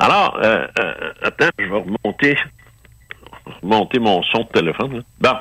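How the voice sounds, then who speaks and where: A man in a Quebec accent, very slow, with long, frequent pauses and a dry, close sound with no echo. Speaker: ufologist. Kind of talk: casual interview. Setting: phone call.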